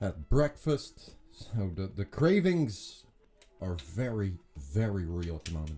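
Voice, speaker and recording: A man speaks very slowly in a very deep, low voice with very wide pitch swings. Music plays in the background. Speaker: streamer. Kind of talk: casual live stream chat. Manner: articulated on air.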